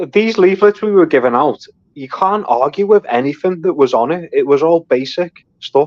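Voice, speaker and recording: A man with a Liverpool accent and a high pitch is heard in a dry, close sound with no echo. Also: lively intonation, moderate pace. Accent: Scouse (Liverpool). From North Liverpool, England. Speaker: amateur boxer and political activist. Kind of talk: casual chat.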